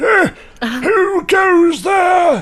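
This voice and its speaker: A man does a put-on character voice. It is pitched extremely high. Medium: actual play. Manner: pompous, old-fashioned formal.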